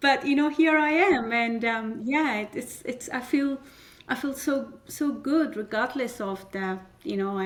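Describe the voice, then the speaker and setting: A woman speaks with ordinary pitch variation. Noticeable background noise runs behind her. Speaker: community leader. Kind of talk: podcast interview. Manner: halting with fillers.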